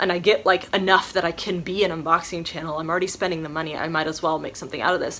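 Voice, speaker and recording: A woman's bright, sharp tone at a very fast pace. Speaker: YouTuber, subscription box unboxer. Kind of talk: casual Q&A vlog.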